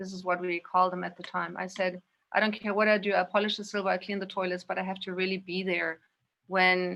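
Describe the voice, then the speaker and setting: A woman with a German accent talks very fast at a medium pitch, her tone bright and sharp and her intonation monotone and flat. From Indonesia and Spain. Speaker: guest, yoga practitioner. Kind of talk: personal recollection.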